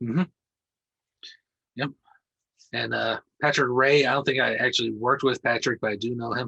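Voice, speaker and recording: Speaking at a moderate pace with long, frequent pauses, a man has a medium pitch, fairly even intonation, vocal fry and a bright, sharp tone, in a dry, close sound with no echo. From US Midwest. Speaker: podcast host. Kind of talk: casual interview.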